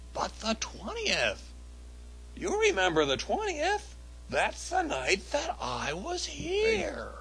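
Putting on a cartoonish character voice, a man speaks at a very slow pace against clear background noise. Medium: puppet show. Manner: wheedling, evasive.

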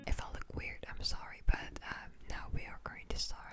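A woman is whispering. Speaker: ASMR vlogger. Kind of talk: casual talk to camera. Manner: hesitant, slightly nervous, self-deprecating. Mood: shy, giggly, self-deprecating. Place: home room. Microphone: phone near.

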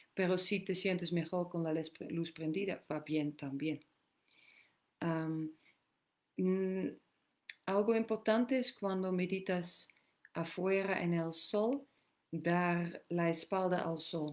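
A woman speaks at a very slow pace with long, frequent pauses. Her pitch is fairly low, with ordinary variation. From Netherlands. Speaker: women's empowerment and meditation teacher. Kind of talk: live Q&A session. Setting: live stream, outdoors. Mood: calm, gentle. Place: home room. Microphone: webcam.

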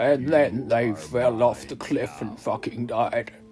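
Against clear music in the background, a man puts on a booming character voice at a medium pitch. He speaks at a moderate pace.

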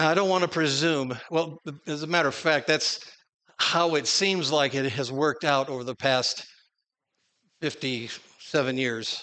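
Speaking with an American accent in a bright, sharp tone, the voice moves at a fairly slow pace with ordinary pitch variation against a quiet background. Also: man, fairly high pitch for a man. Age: 60s. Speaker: preacher; conference preacher. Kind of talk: sermon. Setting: stage with audience. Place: church.

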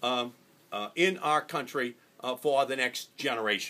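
In a bright, sharp tone, a man talks at a moderate pace. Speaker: candidate. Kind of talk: campaign stump speech. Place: cafe. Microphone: phone near.

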